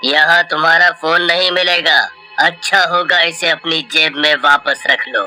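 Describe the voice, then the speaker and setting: A man uses a cartoonish character voice, high-pitched and at a fairly slow pace. Clear music plays in the background. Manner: curt, cold.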